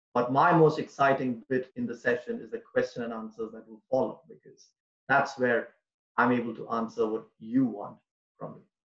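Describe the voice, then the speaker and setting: A man with a Tamil accent speaks at a medium pitch. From India. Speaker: public speaking trainer. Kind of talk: online workshop presentation.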